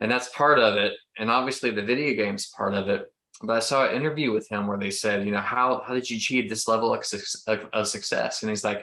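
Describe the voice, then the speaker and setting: A man with an American accent talks at a very fast pace in a medium pitch, his bright, sharp tone carried by fairly even intonation. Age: 40s. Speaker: podcast host, ministry leader. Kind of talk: casual interview chat.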